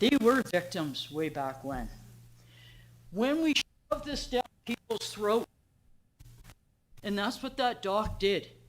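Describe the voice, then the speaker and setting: A woman speaks very slowly with a fairly high pitch, very wide swings in pitch, vocal fry, and long, frequent pauses. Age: 60s. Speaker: member of the public at council meeting. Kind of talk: public comment. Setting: council meeting. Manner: halting.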